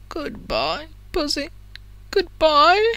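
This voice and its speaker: A woman puts on a character voice, pitched high. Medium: read story. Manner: taunting, unhinged.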